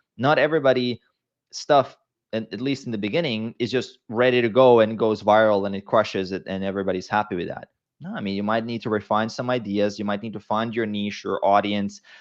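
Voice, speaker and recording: Against a quiet background, a man with a non-native accent and medium pitch talks at a fairly quick pace. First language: not English. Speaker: fitness coach and YouTuber. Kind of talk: podcast interview.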